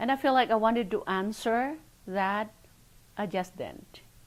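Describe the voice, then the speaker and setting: A woman with a Filipino accent and vocal fry, on a very clean recording with a silent background. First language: Filipino language. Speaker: oral history interviewee. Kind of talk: interview testimony.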